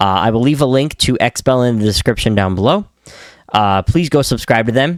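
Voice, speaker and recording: The voice has ordinary pitch variation and a dry, close sound with no echo, on a very clean recording with a silent background. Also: man. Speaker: gaming YouTuber. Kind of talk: video reaction commentary. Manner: casual, hesitant with fillers.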